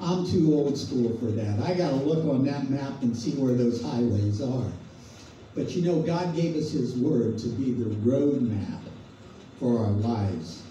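Lively intonation at a fairly slow pace comes through with audible room echo and light background noise. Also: man. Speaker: preacher leading a devotional. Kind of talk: sermon. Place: hall.

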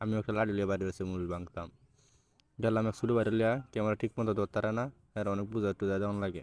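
His pitch sitting fairly low, a man delivers his words in a flat, monotone way. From Bangladesh, Mymensingh region. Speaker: vlogger. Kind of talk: casual vlog narration.

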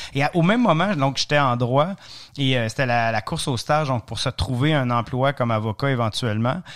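A man speaks with an Ontario French accent at a medium pitch. He moves at a fairly quick pace with ordinary pitch variation. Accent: Franco-Ontarian French. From Ontario, francophone community. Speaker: cycling adventurer and author. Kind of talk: interview, storytelling. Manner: hesitant, repeats words.

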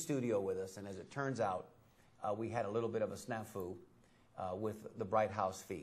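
This man speaks with an American accent. His voice is somewhat breathy. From Tampa, Florida; Florida. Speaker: TV talk show host. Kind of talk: talk show chat. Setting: studio. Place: studio.

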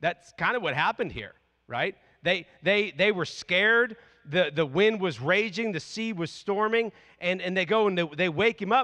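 A man's raised, projected voice, bright and sharp, with ordinary pitch variation at a moderate pace over a quiet background. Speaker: preacher. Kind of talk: sermon. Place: church. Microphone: handheld.

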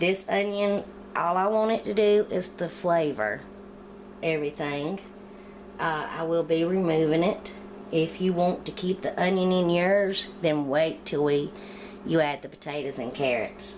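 A woman speaks fairly slowly at a fairly low pitch. Her pitch varies in an ordinary way over light background noise. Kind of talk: tutorial. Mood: relaxed, friendly. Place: kitchen.

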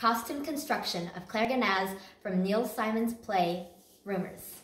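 Audible room echo surrounds a woman who speaks at a moderate pace, her pitch varying in an ordinary way. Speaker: presenter. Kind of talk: competition presentation. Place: home room.

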